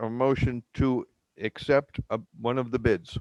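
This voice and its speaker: A man with a plain, everyday voice speaks at a moderate pace and medium pitch, with fairly even intonation and a dry, close sound with no echo. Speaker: village mayor chairing board meeting. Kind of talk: public board meeting.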